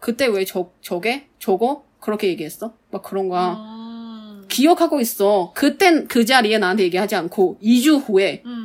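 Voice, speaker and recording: A woman with a Mandarin Chinese accent speaks at a fairly slow pace. Her fairly high pitch rises and falls with lively intonation. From Taiwan. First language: Mandarin Chinese (speaking Korean). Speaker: podcast co-host. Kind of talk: casual chat.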